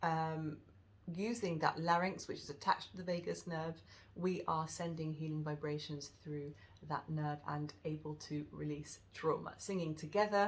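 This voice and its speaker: This woman has a very deep, low, husky voice, fairly even intonation and a moderate pace. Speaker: wellness teacher. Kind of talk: tutorial. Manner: hesitant, many fillers.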